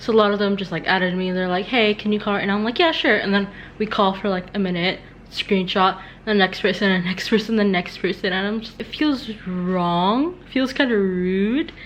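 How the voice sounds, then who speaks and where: A woman with an ordinary speaking voice at a medium pitch, a moderate pace and ordinary pitch variation. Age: young. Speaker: vlogger. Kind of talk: casual vlog.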